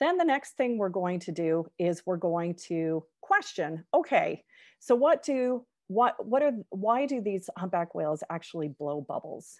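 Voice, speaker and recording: A woman with a western Canadian accent speaks at a fairly slow pace, her pitch swinging very widely over a quiet background. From Canada, Victoria, British Columbia. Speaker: professor. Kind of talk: lecture.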